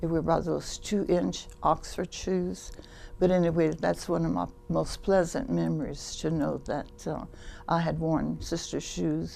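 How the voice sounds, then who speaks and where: With music playing behind her, a woman speaks fairly slowly. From Louisiana (Iota, Cajun area). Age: 80s+. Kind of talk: interview testimony.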